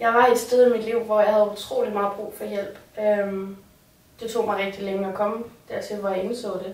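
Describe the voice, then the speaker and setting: A woman speaks with monotone, flat intonation. Noticeable background noise and audible room echo fill the recording. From Copenhagen area, Denmark. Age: 20s. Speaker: resident of a care facility. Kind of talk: personal testimony. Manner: hesitant, with fillers.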